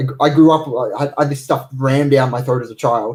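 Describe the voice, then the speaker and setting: A man's somewhat breathy, dark, mellow tone at medium pitch, fairly quick pace, ordinary pitch variation. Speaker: energy healer. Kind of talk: livestream talk. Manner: fast; hesitant, many fillers.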